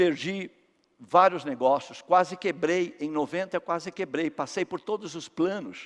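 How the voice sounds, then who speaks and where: The man's voice sits at a high pitch. His pitch varies in an ordinary way. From Brazil, São Paulo. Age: 60s. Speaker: company founder and speaker. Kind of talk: motivational talk.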